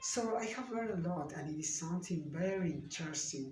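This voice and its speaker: A man with a Spanish accent speaks at a moderate pace and a high pitch, with ordinary pitch variation. Noticeable background noise and audible room echo fill the recording. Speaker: language student. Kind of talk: video monologue. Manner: halting.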